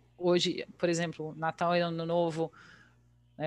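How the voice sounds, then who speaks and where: The woman's fairly low voice comes through a very clean recording with a silent background. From Brazil, Bragança Paulista (São Paulo state). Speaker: English teacher and translator. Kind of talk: casual interview.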